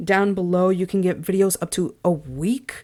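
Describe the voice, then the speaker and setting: A woman's ordinary speaking voice at medium pitch, with fairly even intonation, on a very clean recording with a silent background. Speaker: gaming news YouTuber. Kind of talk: casual video outro. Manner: casual, filler-heavy.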